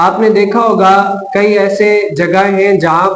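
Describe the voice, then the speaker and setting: Here a man talks in a high pitch. His intonation is flat and monotone. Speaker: Islamic scholar giving a religious lecture. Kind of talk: religious lecture explaining a hadith and ruling.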